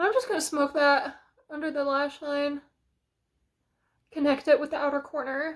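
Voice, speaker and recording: Against a very clean, silent background, a woman talks at a moderate pace with long, frequent pauses. Her voice is high and her intonation is flat and monotone. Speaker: beauty vlogger. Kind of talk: makeup tutorial chat. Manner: loud; casual with many fillers.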